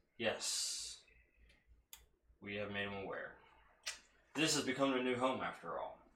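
A man does a put-on character voice at a medium pitch and a moderate pace, with long, frequent pauses. Audible echo surrounds the voice. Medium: actual play. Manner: formal, courteous.

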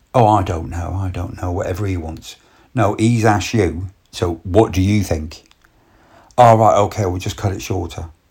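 A man with a very deep, low pitch talks at a moderate pace, somewhat breathy and with fairly even intonation, in a very clean recording with a silent background.

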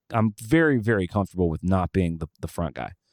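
On a very clean recording with a silent background and a dry, close sound with no echo, a speaker with an Alabama accent talks at a fairly quick pace with very wide pitch swings. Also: man. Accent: Southern US (Alabama). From rural Alabama. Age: 40s. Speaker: touring musician and podcast host. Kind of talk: casual interview conversation.

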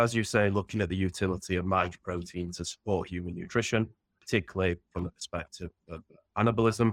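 Dry and close with no echo, in a very clean recording with a silent background, a man with a Yorkshire accent speaks at a fairly low pitch and fairly quick pace with fairly even intonation. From northern England, Sheffield. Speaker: protein researcher. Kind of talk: interview.

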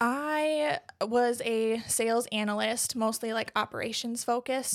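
A woman speaks in a plain, everyday voice with an American accent, fairly high in pitch with ordinary pitch variation. The recording is very clean, with a silent background. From southeastern Wisconsin. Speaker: bridal shop owner. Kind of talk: interview.

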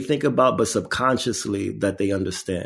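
On a very clean recording with a silent background, a man speaks at a moderate pace in a fairly low pitch. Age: 40s. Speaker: artist and activist, foundation founder. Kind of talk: interview.

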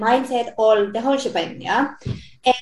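A woman with a high-pitched voice. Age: 40s. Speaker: spiritual coach. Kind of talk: interview. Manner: halting.

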